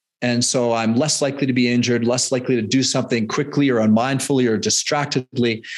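A man with a Canadian accent and a medium pitch talks at a very fast pace with hardly any pauses, keeping his intonation fairly even and his loudness very even. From Canada. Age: 50s. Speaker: fitness and nutrition coach. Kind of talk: interview conversation.

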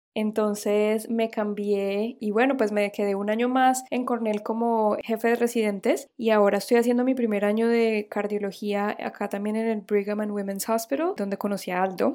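The tone is dark and mellow, with monotone, flat intonation. Hardly any pauses break the speech. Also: woman. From Colombia, Cúcuta. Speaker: cardiologist in training. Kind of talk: casual interview chat.

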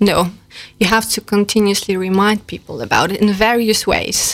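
A woman speaks with a Polish accent. Her pitch is medium, and her intonation is monotone and flat. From Poland. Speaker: customer experience manager. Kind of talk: radio interview. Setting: studio.

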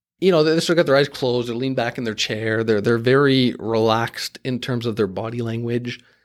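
With an Ontario accent, a man speaks at a fairly quick pace, hardly pausing, his medium pitch showing ordinary variation. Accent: Canadian (Ontario) English. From Canada, Markham (Toronto suburb). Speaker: career interview guest. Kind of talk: casual interview. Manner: hesitant, many filler words.

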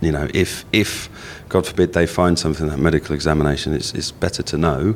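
Over noticeable background noise, a man with a very deep, low voice talks at a very fast pace with fairly even intonation. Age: 40s. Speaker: life insurance adviser. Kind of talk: interview. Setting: hotel venue.

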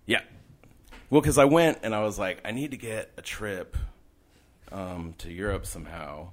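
Very wide pitch swings and big swings in loudness mark this speech, broken by long, frequent pauses. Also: man, fairly low pitch for a man, moderate pace. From not born in New York, lived in NYC about 10 years. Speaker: street artist. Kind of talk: casual interview chat. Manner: casual, laid-back.

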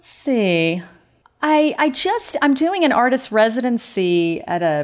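With a slight Southern accent, a woman speaks using lively intonation. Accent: slight southern drawl. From US South, North Carolina. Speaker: photography professor and artist. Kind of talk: interview.

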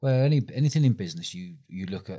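The voice has a dark, mellow tone, captured on a very clean recording with a silent background. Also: man. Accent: London. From London. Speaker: festival founder and entrepreneur. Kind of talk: interview.

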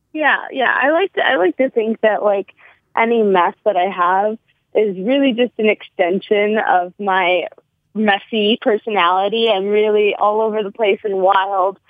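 A woman's unremarkable speaking voice, fairly high in pitch with ordinary pitch variation, at a fairly slow pace. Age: 20s. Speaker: actor and retail worker. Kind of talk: casual chat. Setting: phone call.

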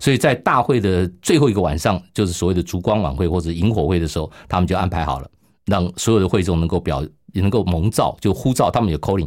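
Over a silent background in a very clean recording, a man with a Taiwanese accent speaks very fast at a very deep, low pitch with ordinary pitch variation. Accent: Taiwanese Mandarin. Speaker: radio pastor. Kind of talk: testimony interview.

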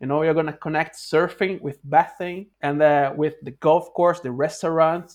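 A man with a Brazilian accent, fairly high pitch, fairly even intonation and a fairly slow pace. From Rio de Janeiro, Brazil. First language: Portuguese. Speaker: wave pool project founder. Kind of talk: casual interview. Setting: remote call from Norway. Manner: halting, hesitant.

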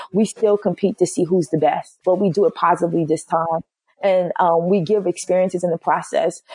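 In a New York accent, the voice moves at a fairly quick pace with a dark, mellow tone, fairly even intonation and very even loudness, in a dry, close sound with no echo. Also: woman, medium pitch for a woman. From Brooklyn, New York. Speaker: HR executive. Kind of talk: interview.

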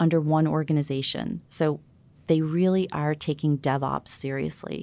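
A woman's very deep, low voice with a dark, mellow tone, ordinary pitch variation, a moderate pace and a quiet background. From New York. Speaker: product manager in government digital service. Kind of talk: interview.

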